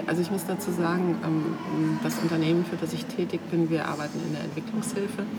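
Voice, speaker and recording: With hardly any pauses, a woman of fairly low pitch speaks at a moderate pace and fairly even intonation, amid noticeable background noise and audible room echo. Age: 60s. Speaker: office manager, former photo model. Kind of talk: casual interview. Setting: on location at an art venue. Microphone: poor sound quality.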